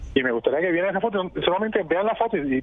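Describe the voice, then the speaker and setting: The man's voice is high in pitch, and he speaks at a fairly quick pace. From Puerto Rico. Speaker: boxing journalist. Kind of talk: radio interview. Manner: halting, repeats words.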